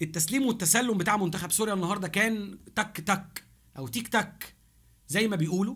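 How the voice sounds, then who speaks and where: A man speaks in an animated tone with an Egyptian accent. The background is quiet. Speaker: football YouTuber. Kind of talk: match review monologue. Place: home room. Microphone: studio mic.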